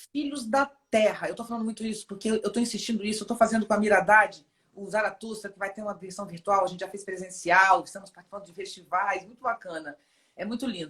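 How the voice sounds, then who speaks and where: A somewhat breathy woman's voice at medium pitch. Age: 50s. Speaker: philosopher and poet. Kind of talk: interview conversation.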